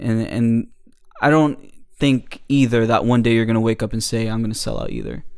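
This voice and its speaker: A man with an American accent talks at a fairly quick pace, at medium pitch, with fairly even intonation. It is an ordinary speaking voice. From New Jersey. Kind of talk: casual chat about faith.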